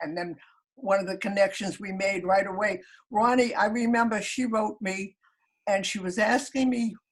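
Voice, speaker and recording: This woman's voice is fairly high and somewhat breathy. She speaks at a moderate pace. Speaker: elderly blogger. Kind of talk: casual chat. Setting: video call.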